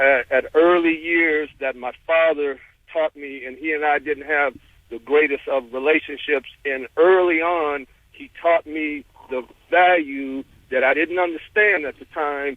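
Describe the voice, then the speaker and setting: At a fairly slow pace, a man speaks at a fairly high pitch with fairly even intonation and big swings in loudness. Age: 60s. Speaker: caller. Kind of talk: phone-in call. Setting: phone call. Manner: halting.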